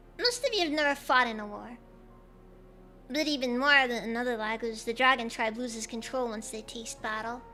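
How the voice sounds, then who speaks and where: Clear music sounds in the background as a woman uses a high-pitched, put-on character voice at a fairly quick pace. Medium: virtual streamer. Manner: formal, measured.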